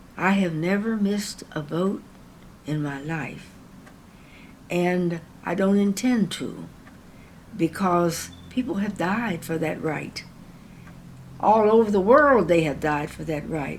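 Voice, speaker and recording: Very slow speech with long, frequent pauses and lively intonation, carrying audible room echo. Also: woman, fairly low pitch for a woman. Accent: American. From southern Ohio, US. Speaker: civil rights activist. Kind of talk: oral history interview. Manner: halting, with fillers.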